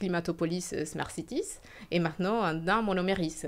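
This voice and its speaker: A woman's fairly low voice with a slight Spanish accent and ordinary pitch variation, on a very clean recording with a silent background. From Venezuela. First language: Spanish (speaking French). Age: 30s. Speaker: entrepreneur. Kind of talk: interview. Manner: hesitant.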